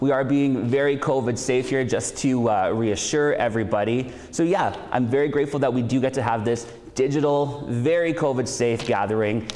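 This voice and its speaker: A man with medium pitch and very even loudness speaks at a moderate pace amid audible room echo and noticeable background noise. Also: ordinary pitch variation. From Saskatchewan, Canada. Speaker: event host. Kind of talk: event introductions. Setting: school hall, socially distanced event.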